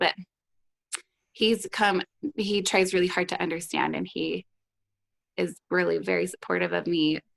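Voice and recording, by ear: Using a put-on character voice that is hoarse and raspy, a woman talks at a moderate pace with long, frequent pauses in a dry, close sound with no echo.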